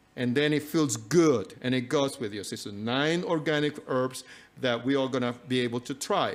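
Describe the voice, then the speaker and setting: Speaking with a non-native accent, a man uses ordinary pitch variation. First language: not English. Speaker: health and nutrition speaker. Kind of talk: live talk to audience. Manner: halting, many fillers.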